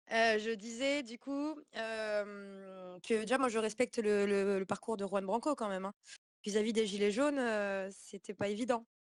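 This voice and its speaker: At a fairly slow pace, a woman speaks in a fairly high voice with fairly even intonation, the sound dry and close with no echo. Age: 20s. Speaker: activist. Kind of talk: online community call. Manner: halting.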